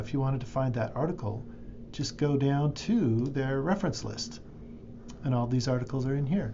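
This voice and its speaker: Somewhat breathy, a man speaks at medium pitch and a moderate pace with ordinary pitch variation. Audible room echo surrounds his voice. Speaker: librarian or instructor. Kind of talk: screen-recorded tutorial. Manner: casual, with fillers.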